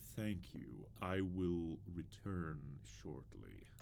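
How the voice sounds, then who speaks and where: A man does a put-on character voice in a very deep, low pitch at a very slow pace. Clear background noise sits behind him. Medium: video game.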